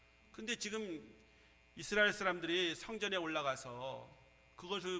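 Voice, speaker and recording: A man speaks at a moderate pace with ordinary pitch variation and a bright, sharp tone. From Seoul. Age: 60s. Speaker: pastor. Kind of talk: sermon.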